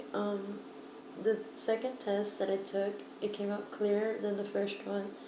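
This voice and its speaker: A woman speaks at a fairly slow pace in a monotone, flat way. Audible room echo and noticeable background noise fill the recording. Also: medium pitch for a woman. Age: 20s. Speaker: vlogger. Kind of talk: casual vlog. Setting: at home, downstairs room. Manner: hesitant, many fillers; shaky voice.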